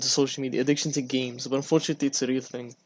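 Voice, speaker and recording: A man talks at a very fast pace. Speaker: podcast host. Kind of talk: casual chat.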